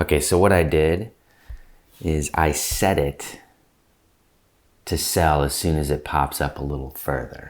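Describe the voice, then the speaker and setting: The speaker has vocal fry and ordinary pitch variation, leaving long pauses often. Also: man, very deep, low pitch for a man. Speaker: stock trader. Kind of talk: live trading tutorial. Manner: animated.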